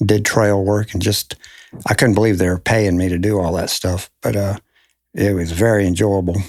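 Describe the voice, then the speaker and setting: An ordinary speaking voice with fairly even intonation, on a very clean recording with a silent background. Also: man. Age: 60s. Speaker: forester. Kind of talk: interview.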